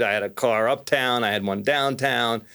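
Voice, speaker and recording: On a very clean recording with a silent background, a man speaks in a New York accent with ordinary pitch variation. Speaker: mortgage lender. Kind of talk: casual chat.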